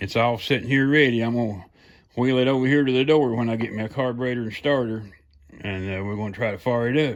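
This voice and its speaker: A Southern US accent on a very clean recording with a silent background. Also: man. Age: 60s. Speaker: home mechanic and car hobbyist. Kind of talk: casual workshop vlog. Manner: casual, folksy with many fillers.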